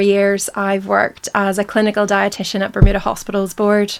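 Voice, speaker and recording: A woman with a Northern Irish accent at a medium pitch and a fairly quick pace, with noticeable background noise. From Northern Ireland, Belfast. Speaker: dietitian. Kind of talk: interview. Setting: studio.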